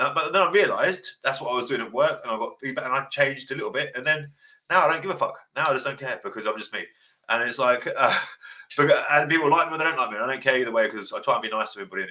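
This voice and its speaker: A man with an English accent speaks at a very fast pace. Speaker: family court advice podcaster. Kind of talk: casual chat. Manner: loud, passionate.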